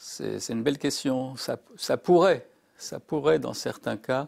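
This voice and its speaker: A man speaks at a very slow pace. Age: 60s. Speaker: psychiatrist and psychoanalyst. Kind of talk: interview. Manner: halting.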